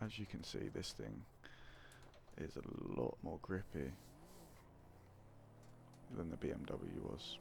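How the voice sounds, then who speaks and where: The man is soft-spoken. His voice has vocal fry. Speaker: gaming ASMR content creator. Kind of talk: casual talk to camera.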